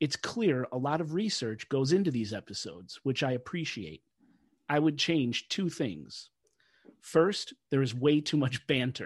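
A man speaks at a fairly slow pace in a fairly high pitch, somewhat breathy, with lively intonation. The sound is dry and close with no echo, and the background is quiet. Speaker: podcast host. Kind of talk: casual podcast chat.

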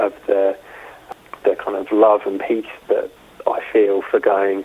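Noticeable background noise sits behind this recording. A man speaks in a London accent. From London, England. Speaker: film photographer. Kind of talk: interview. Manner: halting.

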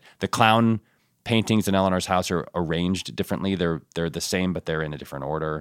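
A man with an American accent speaks at a very fast pace and a very deep, low pitch, with ordinary pitch variation. The very clean recording has a silent background and a dry, close sound with no echo. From suburban Connecticut, US. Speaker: TV writer and producer. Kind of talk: casual interview chat.

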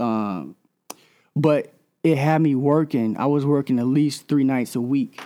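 On a very clean recording with a silent background, a man speaks at a fairly high pitch and a fairly slow pace, his tone dark and mellow and his loudness very even. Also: ordinary pitch variation. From US South. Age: 30s. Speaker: radio DJ. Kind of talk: interview.

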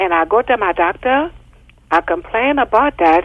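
A woman talks at a fairly slow pace in a medium pitch, her voice making very wide pitch swings. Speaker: caller. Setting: phone call.

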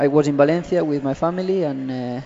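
A man with a Spanish accent speaks at a moderate pace in a fairly high voice, his intonation fairly even over noticeable background noise. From Spain. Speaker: professional footballer. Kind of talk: interview. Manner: halting.

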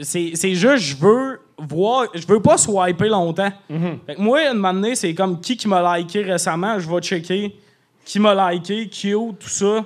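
A man with a high pitch speaks in an animated tone at a fairly slow pace, with ordinary pitch variation. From Quebec, Lac-Saint-Jean region. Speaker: comedian. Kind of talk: casual chat. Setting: stage with audience.

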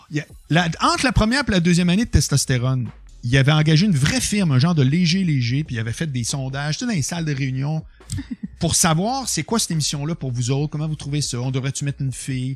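A fairly high-pitched man in a Quebec accent, very fast and animated with lively intonation, music in the background. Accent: Québécois French. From Quebec City, Quebec. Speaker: radio and TV personality. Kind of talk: casual chat. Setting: studio. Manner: animated, flamboyant delivery.

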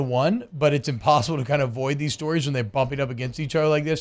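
On a very clean recording with a silent background, a man talks very fast at a fairly high pitch with ordinary pitch variation. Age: 30s. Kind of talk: casual sports talk radio. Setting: radio studio.

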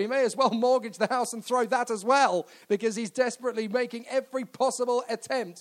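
Animated and excited, a man speaks at a very fast pace with an extremely high pitch. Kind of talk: live race commentary. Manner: animated, fast, excited play-by-play delivery.

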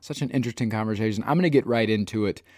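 In a plain, everyday voice, a man talks with an American accent at a fairly low pitch, ordinary pitch variation, and a dry, close sound with no echo. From US Midwest. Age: 30s. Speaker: podcast host and comedian. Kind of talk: casual interview chat.

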